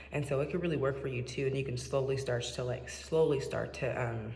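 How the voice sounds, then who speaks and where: A soft-spoken woman with an American accent talks at a moderate pace in a very deep, low voice with fairly even intonation. Noticeable background noise and audible room echo fill the recording. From Seattle, US Pacific Northwest. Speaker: vlogger. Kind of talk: casual monologue. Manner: hesitant, many fillers. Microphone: echoey room.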